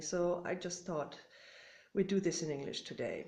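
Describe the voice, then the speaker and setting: Room echo is audible around a woman speaking with a German accent. Her pitch is medium and her intonation fairly even. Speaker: orchid hobbyist vlogger. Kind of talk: casual show-and-tell vlog. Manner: hesitant, many fillers.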